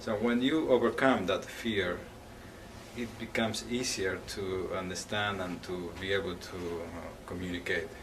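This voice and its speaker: A man with a non-native accent speaks at a very deep, low pitch and a fairly slow pace, with ordinary pitch variation. Room echo is audible, and background noise is noticeable. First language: not English. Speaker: English language student. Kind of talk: interview answers. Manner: halting.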